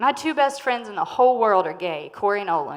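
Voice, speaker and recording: With a Southern US accent, a woman talks at a fairly quick pace with very wide pitch swings. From North Carolina, near the Virginia border (Henderson). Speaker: food business owner and storyteller. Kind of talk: live storytelling performance. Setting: stage with audience.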